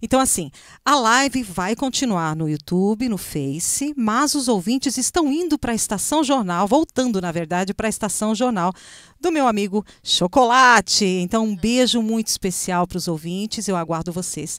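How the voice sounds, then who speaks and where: This woman's voice sits fairly high and swings very widely in pitch. The background is quiet, and the sound is dry with no echo. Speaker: talk show host. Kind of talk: casual chat. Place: studio. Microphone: handheld.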